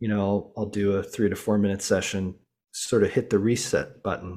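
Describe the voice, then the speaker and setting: A man's dark, mellow voice, fairly low in pitch, with a General American accent. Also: very clean recording, silent background. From Colorado. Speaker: fitness app CEO and former elite cyclist. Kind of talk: casual interview. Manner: halting, many fillers.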